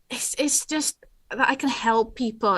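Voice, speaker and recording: A woman speaks with a Dutch accent. Her intonation is fairly even, and the background is quiet. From Netherlands. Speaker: award winner, digital skills trainer. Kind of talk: interview. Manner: halting.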